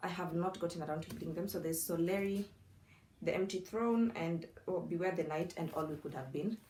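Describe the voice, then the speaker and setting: Against noticeable background noise, a woman with a non-native accent speaks fairly quickly at a fairly low pitch with fairly even intonation. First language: not English. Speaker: book content creator. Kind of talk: casual vlog. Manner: conversational, self-talking.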